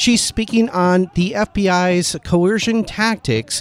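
A man with a high voice speaks over music in the background, the sound dry and close with no echo. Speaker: radio host. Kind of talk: radio interview. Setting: studio.

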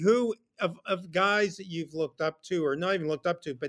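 A man's ordinary speaking voice at a moderate pace, with ordinary pitch variation and a dry, close sound with no echo. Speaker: podcast producer. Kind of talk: casual chat.

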